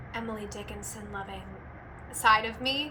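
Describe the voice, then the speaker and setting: Her accent is American. She talks at a moderate speed. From California. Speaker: voice actor. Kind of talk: casual talk to camera. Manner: perky, bubbly.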